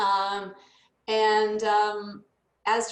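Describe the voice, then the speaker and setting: A woman speaks with an American accent. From United States. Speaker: leadership development consultant. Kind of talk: casual chat.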